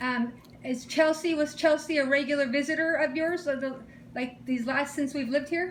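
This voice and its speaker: Loud and animated, a woman speaks at a moderate pace in a high pitch. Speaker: caregiver and partner of elderly man. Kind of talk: casual chat.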